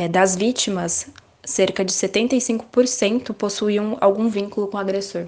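Speaking at a moderate pace with fairly even intonation, the woman has a plain, everyday voice. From Brazil, Guarulhos (São Paulo). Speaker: journalist. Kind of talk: panel discussion. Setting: remote call.

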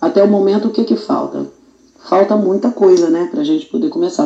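Pitched fairly high, a woman's voice moves through very wide pitch swings. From Brazil, Magé, Rio de Janeiro state. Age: 40s. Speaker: quilombola community association president. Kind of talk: interview.

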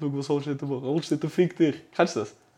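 His pitch is in the medium range. The man's tone sounds dark and mellow. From Zurich, Switzerland. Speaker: podcast co-host. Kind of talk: casual chat.

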